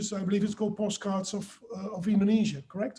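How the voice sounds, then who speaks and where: This man has a high pitch. He talks at a very fast pace. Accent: Dutch. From Netherlands. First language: Dutch. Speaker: author. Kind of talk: webinar discussion.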